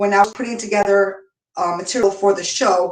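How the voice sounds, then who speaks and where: This is a woman with a medium pitch. Her pitch varies an ordinary amount. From United States. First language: Spanish. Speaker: online show host and business founder. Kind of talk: casual solo talk. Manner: halting, many fillers.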